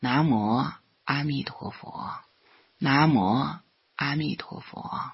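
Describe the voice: Over a quiet background, the voice reads aloud plainly with ordinary pitch variation.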